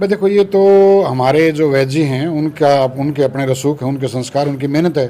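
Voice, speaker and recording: This man's fairly high voice has a dark, mellow tone, very even loudness and ordinary pitch variation. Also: moderate pace. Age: 60s. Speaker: radiologist doctor. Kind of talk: casual interview.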